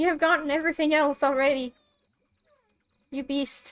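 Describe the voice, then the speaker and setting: A woman speaks in a high pitch. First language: Swedish. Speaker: streamer. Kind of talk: casual gameplay stream commentary. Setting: live stream.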